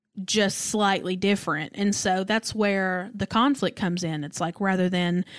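A woman's medium-pitched voice with an East Tennessee accent, at a moderate pace, on a very clean recording with a silent background. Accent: Southern US (East Tennessee). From US South, Knoxville, Tennessee. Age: 20s. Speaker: podcast guest. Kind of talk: casual chat.

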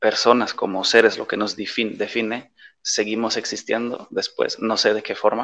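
Here a man talks with a Polish accent. His pace is moderate. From western Germany near the Dutch border. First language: Polish (speaking Spanish). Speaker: expat interviewee. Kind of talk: casual interview. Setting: video call.

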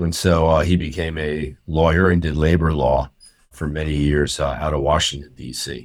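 Speaking at a moderate pace, a man with an American accent uses a very deep, low pitch, vocal fry and a monotone, flat intonation. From US, central New Jersey. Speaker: urology professor. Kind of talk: interview.

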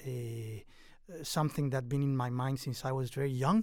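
A man with a Mexican accent talks at medium pitch with fairly even intonation. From Mexico. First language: Spanish. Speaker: professor and author. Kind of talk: interview about his book. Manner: hesitant, with many fillers.

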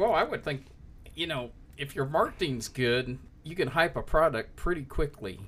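With lively intonation and a fairly high pitch, a man talks at a moderate pace in an ordinary speaking voice. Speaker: guest co-host, cigar tour host. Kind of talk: casual chat.

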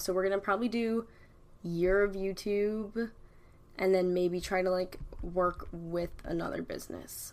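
A woman talks at a fairly slow pace. Her pitch sits in the medium range. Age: 20s. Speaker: YouTuber and podcast host. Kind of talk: casual solo chat. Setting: at a desk, solo recording. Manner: filler-heavy, hesitant.

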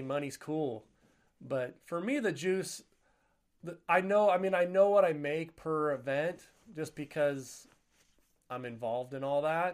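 In an animated tone, a man talks at a fairly slow pace with a fairly high pitch. His pitch variation is ordinary, and the recording is very clean with a silent background. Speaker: author and podcast host. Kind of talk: casual interview chat. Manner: animated, joking.

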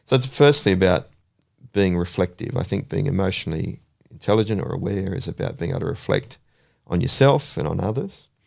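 Lively intonation marks this man's fairly quick, fairly low-pitched delivery with an Australian accent. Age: 40s. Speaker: counsellor. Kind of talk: casual chat.

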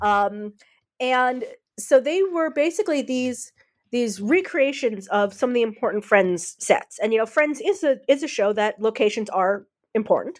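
With an American accent, a woman speaks in a high voice at a moderate pace. Her pitch swings very widely. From United States. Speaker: author and academic researcher. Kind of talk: interview about her book. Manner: halting with many fillers.

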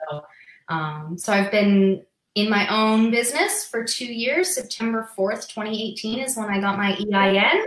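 A woman's normal speaking voice with an American accent, fairly high in pitch, lively in intonation and fairly slow in pace. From Massachusetts, New England. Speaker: physical therapist and practice owner. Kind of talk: casual interview on a live stream.

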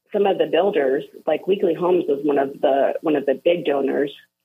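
With a Texan accent, a woman speaks at a moderate pace and with lively intonation. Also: very even loudness. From Texas. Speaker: former state legislator. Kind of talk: phone-in interview. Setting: phone call.

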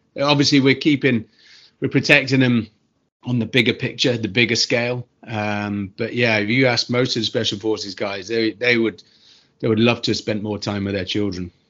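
With a British accent, a man talks at a moderate pace in a medium pitch, his intonation fairly even. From UK. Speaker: former special forces soldier. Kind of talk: casual interview chat.

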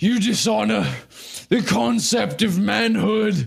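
A wheezy, high-pitched man puts on a character voice. He speaks at a fairly slow pace. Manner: indignant.

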